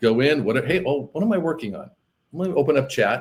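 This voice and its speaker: A man's fairly quick pace, with ordinary pitch variation. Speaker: appraiser and AI business coach. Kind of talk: podcast interview. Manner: fast; animated.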